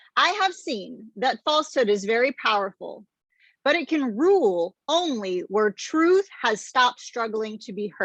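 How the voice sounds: The background stays quiet. Against it comes a natural reading voice.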